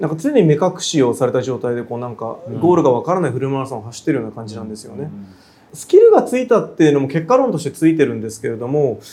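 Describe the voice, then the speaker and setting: The speech runs at a very fast pace with ordinary pitch variation and big swings in loudness. Background noise is noticeable. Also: man, fairly high pitch for a man. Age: 40s. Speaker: contemporary artist. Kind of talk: interview. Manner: frequent fillers and hesitations.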